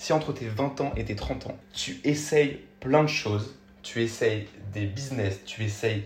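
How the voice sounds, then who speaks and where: Audible room echo surrounds a man speaking at a very slow pace. His pitch is medium with ordinary variation. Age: 20s. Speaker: podcaster and TikTok creator. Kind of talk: casual solo podcast monologue. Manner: halting, many fillers and self-corrections.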